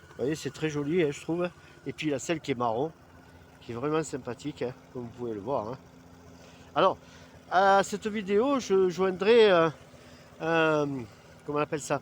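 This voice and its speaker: Recorded very cleanly against a silent background, the speaker moves at a moderate pace with long, frequent pauses. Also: man, fairly high pitch for a man. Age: 60s. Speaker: video blogger. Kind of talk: product presentation. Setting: outdoors. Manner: casual, hesitant with many fillers.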